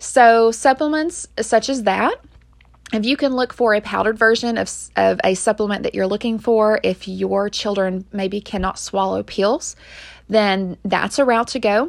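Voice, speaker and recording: A normal speaking voice keeps a moderate pace and ordinary pitch variation, captured on a very clean recording with a silent background. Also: woman, fairly high pitch for a woman. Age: 30s. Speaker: mom podcaster giving health tips. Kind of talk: casual talk with tips and product recommendations. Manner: informal with frequent fillers.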